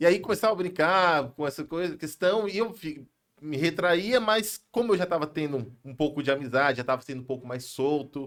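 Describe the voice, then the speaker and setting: A man is speaking. He has an ordinary speaking voice. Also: very clean recording, silent background. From São Paulo, Brazil. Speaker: pastor and businessman. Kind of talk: podcast interview. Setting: live podcast studio.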